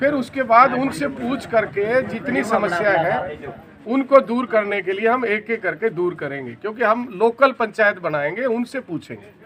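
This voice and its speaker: A man talks with a high pitch and lively intonation, leaving hardly any pauses. Noticeable background noise runs underneath. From Haryana, India. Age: 60s. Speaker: retired paramilitary officer and local election candidate. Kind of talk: interview.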